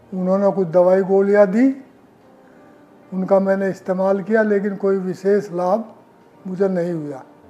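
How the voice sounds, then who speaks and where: A man's high-pitched voice with fairly even intonation, with music in the background. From India, western Uttar Pradesh (Muzaffarnagar). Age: 70s. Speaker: heart surgery patient, retired government employee. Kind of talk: testimonial interview.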